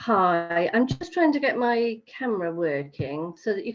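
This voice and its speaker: Her pitch swinging very widely, a woman talks with an English accent. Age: 60s. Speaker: patient. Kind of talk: testimony. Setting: video call. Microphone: poor audio with camera on.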